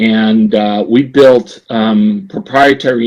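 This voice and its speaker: In a New Jersey accent, a man talks at a medium pitch. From US Northeast, New Jersey. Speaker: business executive. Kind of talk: podcast interview. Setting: podcast.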